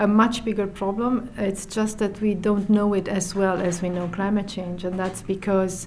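Medium-pitched and monotone, a woman talks at a fairly slow pace with flat intonation and hardly any pauses. Noticeable background noise runs underneath. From Romania. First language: Romanian (speaking Finnish). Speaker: UN environmental official. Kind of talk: interview.

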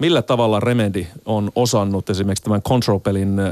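A man with a fairly low pitch and a plain, everyday voice speaks at a fairly quick pace in a dry, close sound with no echo. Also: very clean recording, silent background. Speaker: radio host. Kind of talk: radio interview. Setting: studio.

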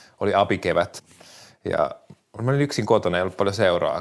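A man speaking at a fairly quick pace. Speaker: writer and podcast host. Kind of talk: casual interview chat.

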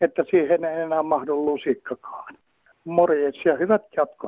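Speaking very slowly, a man with a high-pitched voice is recorded with a dry, close sound and no echo. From North Karelia, Finland. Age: old. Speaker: caller. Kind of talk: phone-in call.

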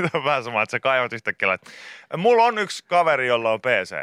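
A man's bright, sharp, medium-pitched voice with vocal fry and very wide pitch swings at a fairly quick pace, in a very clean, dry, close recording with no echo and a silent background. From Finland, Pori. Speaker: radio host. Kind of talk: casual chat.

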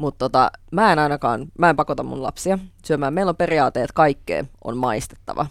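Talking at a fairly quick pace, a woman with a very deep, low pitch shows ordinary pitch variation. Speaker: TV host, guest. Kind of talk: casual chat.

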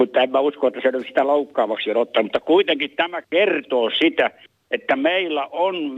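Speaking at a moderate pace, a man with a fairly high pitch shows ordinary pitch variation. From Ostrobothnia, Finland. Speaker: caller. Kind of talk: phone-in call.

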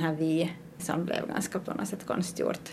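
A woman with a fairly low voice, flat and monotone, at a fairly slow pace, amid noticeable background noise. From Finland, Ostrobothnia (Pedersöre). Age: 30s. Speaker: artist. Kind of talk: interview.

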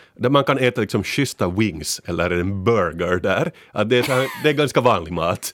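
Pitch swings very widely in this man's speech. He talks fairly slowly. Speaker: podcast panelist. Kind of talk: casual chat. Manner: animated.

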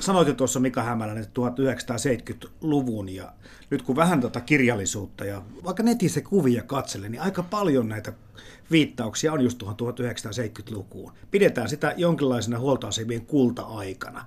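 Somewhat breathy and at a medium pitch, a man speaks fairly slowly with lively intonation.

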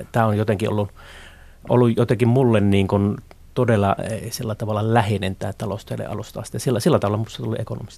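A man's fairly low, dark, mellow voice with vocal fry, delivered at a very fast pace with fairly even intonation on a very clean recording against a silent background. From Finland, Northern Ostrobothnia (Haapavesi). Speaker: economist. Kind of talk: interview. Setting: studio. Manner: halting, many filler words.

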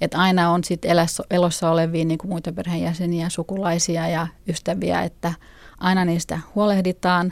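At a moderate pace, a woman speaks with a fairly low pitch. Her intonation is monotone and flat. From Finland. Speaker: freethinker parent. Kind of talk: interview.

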